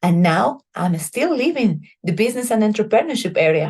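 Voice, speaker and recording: A woman with a Bolivian accent speaks in a somewhat breathy voice with lively intonation. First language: Spanish. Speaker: chemical engineer and civic organization leader. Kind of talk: prepared presentation.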